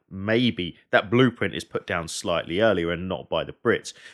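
Recorded very cleanly against a silent background, a man speaks at a very deep, low pitch with ordinary pitch variation. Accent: southern English. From England, Hertfordshire. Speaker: military historian and battlefield guide. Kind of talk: casual chat.

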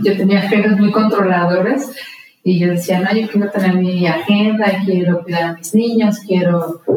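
A woman has a normal speaking voice at medium pitch. She keeps a moderate pace and fairly even intonation. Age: 40s. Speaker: entrepreneur. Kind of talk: interview conversation.

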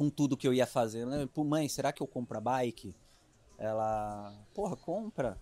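A man with a dark, mellow tone and a medium pitch speaks fairly slowly with lively intonation, on a very clean recording with a silent background. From interior of São Paulo state, Brazil (Itapuí, near Jaú). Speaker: triathlon coach. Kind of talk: casual interview chat. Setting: outdoors at a triathlon expo.

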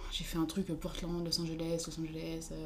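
A woman speaks with audible room echo. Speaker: university student. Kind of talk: casual chat.

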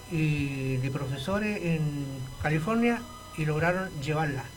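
The pitch varies in an ordinary way while noticeable background noise and audible room echo fill the recording. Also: man. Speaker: retired teacher and political activist. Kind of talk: radio interview.

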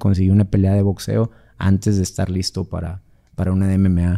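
Very deep and low in pitch, a man's dark, mellow voice moves at a fairly quick pace. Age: 40s. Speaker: MMA fighter. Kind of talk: casual chat.

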